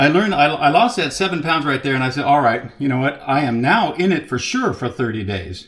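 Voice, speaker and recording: There is noticeable background noise as a man speaks at a fairly quick pace. His pitch is fairly high, and he leaves hardly any pauses. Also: lively intonation. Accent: American. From Texas. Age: 60s. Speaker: carnivore diet vlogger. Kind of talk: casual personal testimony. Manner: conversational, with hesitations.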